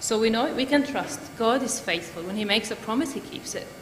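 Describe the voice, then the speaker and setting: A woman talks at a fairly quick pace with ordinary pitch variation. There is light background noise and audible room echo. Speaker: speaker. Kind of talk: sermon-style talk. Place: church.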